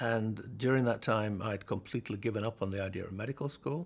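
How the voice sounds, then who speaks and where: At a fairly quick pace, a man speaks in a somewhat breathy voice of medium pitch with ordinary pitch variation. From northern England, Halifax, West Yorkshire. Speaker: neuroscience professor. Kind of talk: oral history interview.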